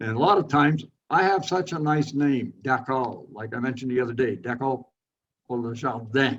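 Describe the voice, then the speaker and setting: A man speaks with a Montreal accent. His pace is moderate, with ordinary pitch variation. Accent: Anglophone Montreal English. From Montreal, Quebec. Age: 80s+. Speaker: retired landscape designer. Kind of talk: interview, life story. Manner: halting, with fillers.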